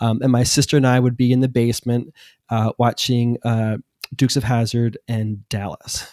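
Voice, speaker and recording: A man's dark, mellow tone at medium pitch, monotone, flat intonation and a moderate pace, the sound dry and close with no echo. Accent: American. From Philadelphia area, US. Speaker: personal finance coach. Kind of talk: casual chat.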